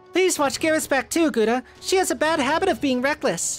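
A female-sounding voice uses a put-on character voice with a high pitch at a fairly quick pace. Clear music plays in the background. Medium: game stream. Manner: earnest, self-deprecating.

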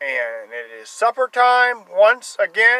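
The speech moves at a very slow pace. The sound is dry with no echo, over a quiet background. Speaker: van dweller vlogger. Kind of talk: casual vlog chat. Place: car.

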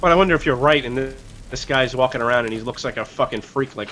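Speaking very fast, a man with a medium pitch and ordinary pitch variation is heard through noticeable background noise. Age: 30s. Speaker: gaming show co-host. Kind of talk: casual chat.

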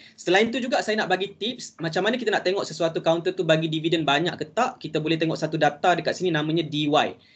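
A man with a Malaysian accent talks very fast at a high pitch, hardly pausing at all. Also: ordinary pitch variation. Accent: Malaysian Malay. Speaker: stock investment trainer. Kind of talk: webinar lecture. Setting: video call. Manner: casual, code-switches to English. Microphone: video call.

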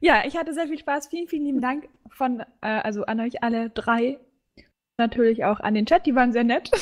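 A woman talks in a high pitch at a fairly quick pace. Her pitch variation is ordinary. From Bavaria, Germany. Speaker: student and streamer. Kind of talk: casual chat.

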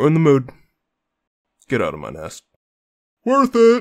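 This cartoonish character voice sits at a middle pitch. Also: moderate pace. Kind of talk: comedic short cartoon dialogue.

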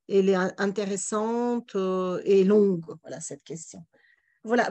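Over a quiet background, a woman speaks at a fairly slow pace. Her dark, mellow voice shows ordinary pitch variation. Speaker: webinar moderator. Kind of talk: moderated Q&A. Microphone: video call.

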